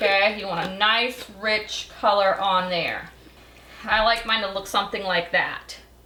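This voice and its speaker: A woman speaks slowly-ish in a flat monotone, at a fairly slow pace. Room echo is audible, along with noticeable background noise. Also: medium pitch for a woman. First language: Belizean Creole. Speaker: cooking show host. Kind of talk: cooking tutorial. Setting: home kitchen. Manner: casual, chatty.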